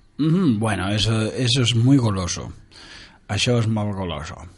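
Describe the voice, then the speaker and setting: Lively ups and downs in a man's mid-range voice, plus clear room echo. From Uruguay, Montevideo. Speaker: radio host. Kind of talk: casual chat.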